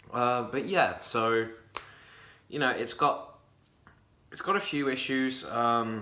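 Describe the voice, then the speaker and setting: Audible room echo surrounds a man speaking very slowly at a medium pitch, with ordinary pitch variation and long, frequent pauses. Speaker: gaming youtuber. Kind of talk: casual game review. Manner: stuttering; animated.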